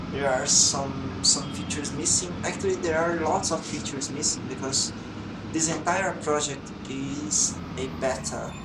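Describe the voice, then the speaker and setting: Fairly slow speech with a Portuguese accent, over noticeable background noise. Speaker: game developer. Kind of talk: tutorial. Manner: halting.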